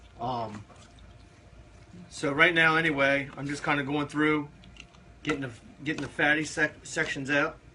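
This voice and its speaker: Over noticeable background noise, a man with an American accent talks at a moderate pace in a fairly high pitch, his intonation fairly even and broken by long, frequent pauses. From Eastern Shore of Maryland. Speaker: barbecue cooking show host. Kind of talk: live-stream cooking tutorial. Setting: Facebook live stream. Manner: casual, many fillers.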